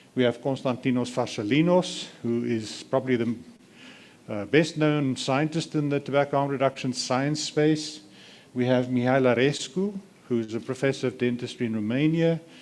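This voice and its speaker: This man talks at a moderate pace, using a medium pitch with ordinary variation. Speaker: event moderator, family physician. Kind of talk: conference moderation. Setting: conference room with interpreters. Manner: clear.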